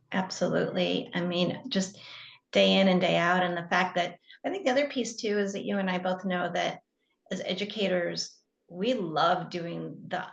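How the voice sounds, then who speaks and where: A woman's medium-pitched voice with vocal fry and an American accent. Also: ordinary pitch variation, moderate pace. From US Midwest, northwest Illinois. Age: 60s. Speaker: physical therapist and educator. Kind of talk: interview conversation.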